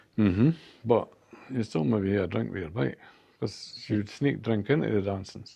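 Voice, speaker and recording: Speaking in a Scottish accent, a man with a fairly low pitch and vocal fry talks at a moderate pace with lively intonation. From Perth, Scotland. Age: 70s. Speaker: community worker. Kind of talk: interview answer.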